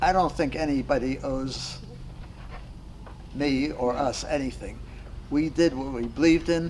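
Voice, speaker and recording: A man's medium-pitched voice at a moderate pace, fairly even in intonation, with long, frequent pauses and audible room echo. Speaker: war veteran. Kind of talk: casual chat. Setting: round table in a hall after a club meeting.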